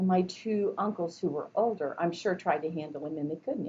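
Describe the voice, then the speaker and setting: With ordinary pitch variation, this voice comes across somewhat breathy. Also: woman. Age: 60s. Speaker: college instructor. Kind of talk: lecture. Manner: conversational.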